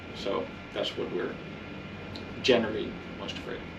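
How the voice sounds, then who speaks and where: This man talks at a fairly quick pace with a Dutch accent. Audible room echo and noticeable background noise are present. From Netherlands. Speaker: activist presenter. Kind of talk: public presentation. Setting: community meeting in a record store.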